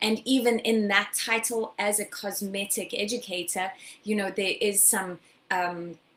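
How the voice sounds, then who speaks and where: Speaking with a South African accent, a woman uses a medium pitch and fairly even intonation at a fairly slow pace. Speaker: skincare educator. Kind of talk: webinar lecture. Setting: live online broadcast.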